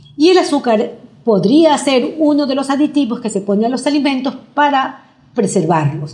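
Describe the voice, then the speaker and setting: Her pitch high for a woman, she speaks with lively intonation. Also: moderate pace. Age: 60s. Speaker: nutrition doctor. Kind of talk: interview.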